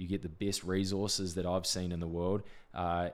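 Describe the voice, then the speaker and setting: Using a monotone, flat intonation, a man with a New Zealand accent speaks at a moderate pace in a very deep, low pitch. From New Zealand, Wanganui. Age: 20s. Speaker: sports agent. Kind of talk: casual interview.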